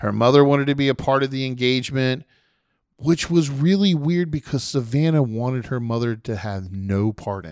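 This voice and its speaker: Recorded very cleanly against a silent background, a man speaks in a normal speaking voice at a moderate pace and medium pitch, with lively intonation and big swings in loudness. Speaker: podcast host. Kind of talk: casual podcast chat and rant.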